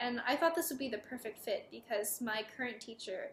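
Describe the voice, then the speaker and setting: This is a woman with a fairly high pitch. Noticeable background noise runs under her voice. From US Midwest, Chicago area (Palatine, Illinois). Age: 20s. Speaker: violinist. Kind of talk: prepared personal statement.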